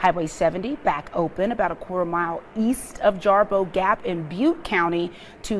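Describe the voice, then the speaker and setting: A woman with a plain, everyday voice speaks at a moderate pace, with a medium pitch and ordinary pitch variation. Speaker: local TV news anchor. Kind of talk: TV news anchor delivery.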